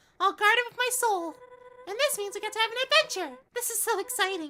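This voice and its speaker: In a put-on character voice, a man speaks squeaky and at an extremely high pitch, going at a very fast pace. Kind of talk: streamer's put-on female voice. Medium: game stream. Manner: enthusiastic, chatty.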